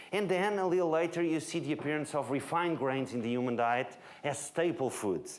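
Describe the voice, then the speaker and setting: With a Portuguese accent, the speaker goes at a fairly quick pace, and audible room echo surrounds the voice. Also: man. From Portugal, Lisbon. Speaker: nutrition researcher. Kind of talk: lecture.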